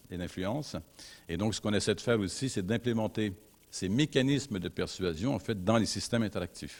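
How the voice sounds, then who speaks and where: A man with a slight North American accent speaks at a fairly quick pace in a fairly low voice, captured in a very clean recording with a silent background. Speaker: university researcher. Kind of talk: conference talk. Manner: hesitant, many fillers.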